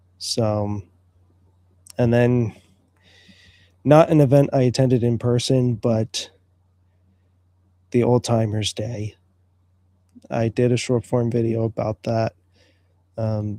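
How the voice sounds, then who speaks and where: A man's medium-pitched voice with a dark, mellow tone, monotone, flat intonation, a very slow pace and long, frequent pauses, in a dry, close sound with no echo. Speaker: livestream show host. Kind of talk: solo livestream talk.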